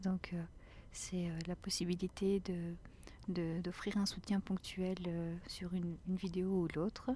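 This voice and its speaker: A woman's very slow, flat monotone at medium pitch, somewhat breathy, with a dark, mellow and gentle tone. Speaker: ASMR creator. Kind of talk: casual talk to camera, ASMR chat. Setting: outdoors, forest walk. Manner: soft, gentle, whispery.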